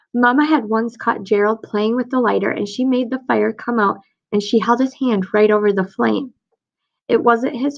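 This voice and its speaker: This woman talks at a moderate pace, her fairly high voice showing ordinary pitch variation. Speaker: teacher. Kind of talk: reading aloud; casual chat.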